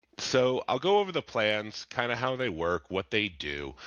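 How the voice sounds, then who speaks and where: Against a quiet background, a man's bright, sharp tone carries vocal fry. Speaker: benefits advisor. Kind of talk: presentation. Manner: casual.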